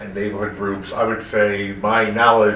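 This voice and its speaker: Noticeable background noise and audible room echo surround the recording. A man with an American accent speaks at a moderate pace. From New York. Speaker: gubernatorial candidate, politician. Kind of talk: candidate interview answer. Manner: halting, many fillers.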